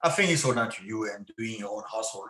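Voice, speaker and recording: A man's bright, sharp voice in a French accent, with very wide pitch swings and audible room echo. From France. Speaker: actor and former MMA fighter. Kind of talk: podcast interview.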